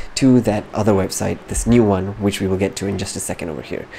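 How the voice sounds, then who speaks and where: Soft-spoken and fairly low-pitched, a man talks at a fairly quick pace against noticeable background noise. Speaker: gaming youtuber. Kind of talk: casual game news commentary. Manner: animated.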